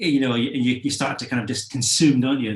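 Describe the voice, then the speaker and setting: With a slight Scottish accent, a man speaks at a medium pitch. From Scotland. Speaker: musician. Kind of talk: interview. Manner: halting, many fillers.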